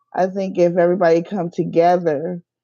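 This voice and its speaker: A woman speaks with a dark, mellow tone at a fairly low pitch. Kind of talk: casual chat. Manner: slow. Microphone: echo in earpiece.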